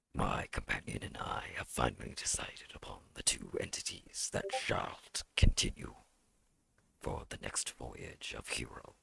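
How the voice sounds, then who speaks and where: A man whispers in a put-on character voice. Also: moderate pace. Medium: actual play. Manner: formal, ceremonial.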